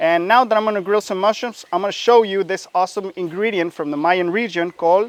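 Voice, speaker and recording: Speaking at a fairly quick pace in a Mexican accent, a man uses a high pitch, ordinary pitch variation and an animated tone. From Mexico. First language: Spanish. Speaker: chef. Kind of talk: cooking demonstration. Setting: outdoors.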